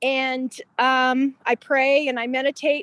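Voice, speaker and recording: A woman speaks at a high pitch in an American accent. The sound is dry and close, without echo. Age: 60s. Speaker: hospitality business owner. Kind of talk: online meeting introduction. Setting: outdoors by a pond on video call. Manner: halting.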